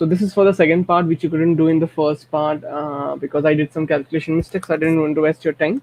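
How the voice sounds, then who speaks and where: Speaking with an Indian accent, a man with a fairly high pitch keeps a monotone, flat intonation. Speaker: math and statistics tutor. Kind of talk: tutorial. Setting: recorded at home at midnight. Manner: soft-spoken; halting.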